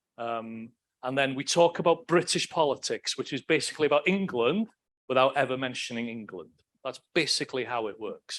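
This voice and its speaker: A man with a Welsh accent talks fairly fast at medium pitch, with lively intonation and big swings in loudness. The recording is very clean with a silent background, and the sound is dry and close with no echo. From Wales. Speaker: political science professor. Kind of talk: lecture. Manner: animated.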